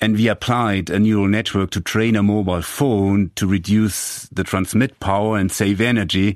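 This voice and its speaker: Over a quiet background, a man with a German accent talks at a moderate pace in a fairly low pitch with fairly even intonation. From Germany, Franconia (northern Bavaria). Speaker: engineering professor. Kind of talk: interview. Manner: halting, frequent repetitions.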